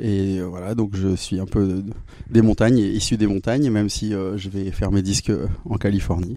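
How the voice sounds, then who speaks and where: A fairly low-pitched male voice at a moderate pace, with fairly even intonation. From southeastern France (Drôme, Romans-sur-Isère). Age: 40s. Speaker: musician. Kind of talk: interview. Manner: hesitant, many fillers.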